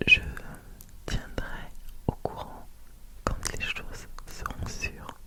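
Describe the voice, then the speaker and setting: The speaker is a man, whispering. Background noise is clearly audible. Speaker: ASMR content creator. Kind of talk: whispered ASMR Q&A talking to camera. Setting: home studio with a close microphone. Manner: whispered, soft-spoken.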